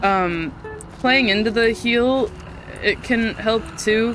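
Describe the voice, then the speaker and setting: Here a woman speaks at a fairly high pitch. Music sits in the background. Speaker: video game streamer. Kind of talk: casual chat. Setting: live stream. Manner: occasional stutter, slurred lazy speech.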